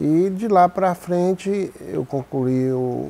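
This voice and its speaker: A man speaks with lively intonation. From Brazil, Minas Gerais (Águas Formosas). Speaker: former mayor. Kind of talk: interview, life story.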